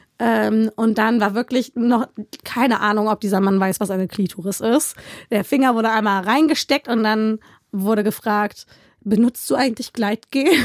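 Dry and close with no echo, a woman's recording has a normal speaking voice, fairly high in pitch, with ordinary pitch variation, a moderate pace and very even loudness. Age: 20s. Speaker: podcast interviewee. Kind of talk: casual chat.

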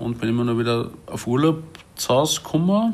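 Speaking in a Salzburg accent, a man keeps a moderate pace with medium pitch and ordinary pitch variation. Noticeable background noise is audible. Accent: Salzburg Austrian. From Salzburg, Austria. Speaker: chef and café owner. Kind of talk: casual interview. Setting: at home in his apartment.

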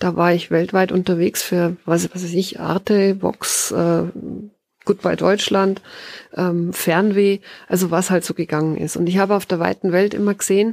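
With fairly even intonation and a medium pitch, a woman speaks at a moderate pace in a dry, close sound with no echo. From Bavaria, Tegernsee valley. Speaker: author and forest bathing guide. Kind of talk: interview. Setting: garden hut with wood stove.

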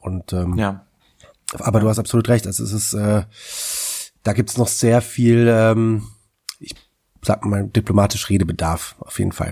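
A man's dark, mellow, fairly low voice at a moderate pace, with fairly even intonation and long, frequent pauses. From Germany (Wetzlar, Hesse). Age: 30s. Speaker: author and political educator. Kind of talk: casual interview. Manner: halting, many fillers.

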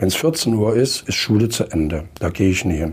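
A man with an unremarkable speaking voice, fairly low in pitch, with lively intonation and a moderate pace. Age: 60s. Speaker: school principal and former state education minister. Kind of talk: panel discussion.

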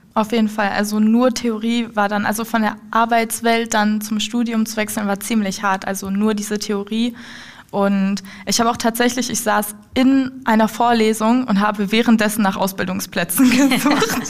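Somewhat breathy, a woman speaks at a moderate pace in a flat monotone. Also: fairly high pitch for a woman. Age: 20s. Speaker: apprentice in dialogue marketing. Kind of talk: casual interview. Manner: halting.

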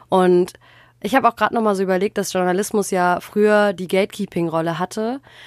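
A woman with a plain, everyday voice speaks at a fairly quick pace and medium pitch with fairly even intonation, in a dry, close sound with no echo on a very clean recording with a silent background. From Germany, Ruhr area. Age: 20s. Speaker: journalism student and podcast co-host. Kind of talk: casual chat.

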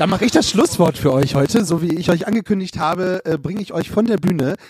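Dry, close sound without any echo around a man's high voice. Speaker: podcast host. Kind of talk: live podcast moderation. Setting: stage with audience. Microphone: crackling audio track.

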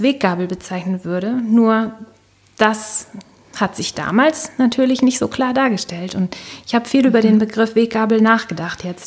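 A woman with a normal speaking voice and fairly high pitch talks at a moderate pace. Her pitch variation is ordinary. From northern Germany, Baltic coast. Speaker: corporate communications worker and coach. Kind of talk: interview.

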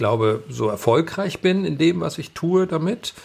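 The speaker talks at a slow pace with lively intonation, vocal fry and a slightly mellow tone. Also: man.

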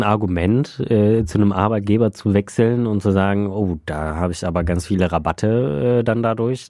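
Fairly low in pitch, this man has a dark, mellow tone. He speaks at a moderate pace with ordinary pitch variation. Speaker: podcast co-host. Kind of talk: casual chat.

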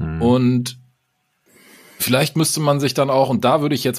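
A man talks at a moderate pace, his medium pitch varying in an ordinary way. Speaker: podcast co-host. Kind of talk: casual chat. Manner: energetic.

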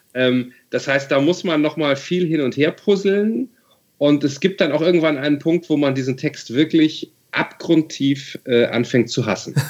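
A man with an ordinary speaking voice talks at a fairly slow pace, his fairly high pitch showing ordinary variation. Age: 40s. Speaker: novelist. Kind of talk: interview.

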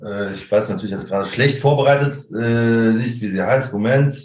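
Somewhat breathy speech with ordinary pitch variation and audible room echo. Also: man. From Germany, Koblenz-Westerwald region. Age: 30s. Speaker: drummer. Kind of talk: casual interview. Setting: video call.

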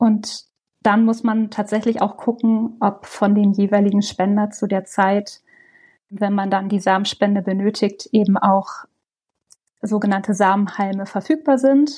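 At a fairly slow pace, a woman speaks in a medium pitch with a dark, mellow tone, somewhat breathy, her intonation fairly even and her loudness very even. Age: 40s. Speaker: project coordinator in public service. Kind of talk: interview conversation.

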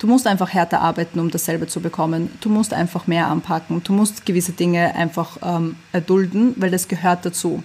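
The speech comes at a fairly quick pace, somewhat breathy, with fairly even intonation. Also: woman, fairly low pitch for a woman, hardly any pauses. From Vienna, Austria. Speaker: fashion label founder. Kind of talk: interview. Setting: video call.

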